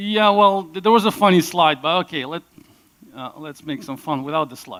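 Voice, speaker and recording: He speaks at a high pitch for a man, with very wide pitch swings and a moderate pace. The sound is dry and close, with no echo. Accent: Russian. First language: Russian. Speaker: conference speaker. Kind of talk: conference talk. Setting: stage with audience.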